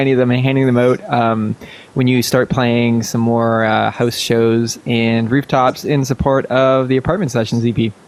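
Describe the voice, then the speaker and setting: A man speaks at a very even loudness over noticeable background noise. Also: hardly any pauses. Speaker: podcast host. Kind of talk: podcast hosting.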